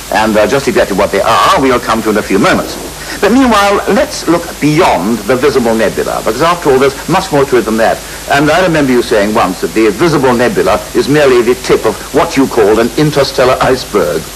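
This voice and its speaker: Speaking at a very fast pace, a man with a fairly high pitch keeps his loudness very even and his intonation lively over noticeable background noise. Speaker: astronomer, TV presenter. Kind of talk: TV science programme presenting.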